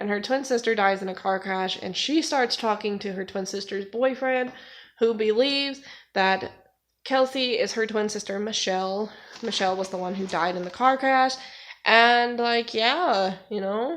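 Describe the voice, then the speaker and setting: A woman with a fairly high pitch speaks at a moderate pace, showing ordinary pitch variation. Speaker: booktuber. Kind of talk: casual vlog. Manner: halting, slip-ups.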